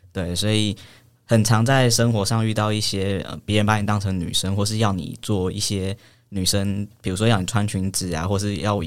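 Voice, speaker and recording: The recording is very clean with a silent background. A man with a fairly low pitch speaks at a fairly quick pace, his intonation fairly even. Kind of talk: casual interview chat.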